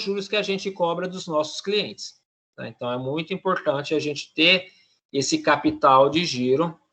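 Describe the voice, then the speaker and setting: At a fairly slow pace, a man with a high pitch and a bright, sharp tone speaks with ordinary pitch variation. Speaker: teacher. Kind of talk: lecture.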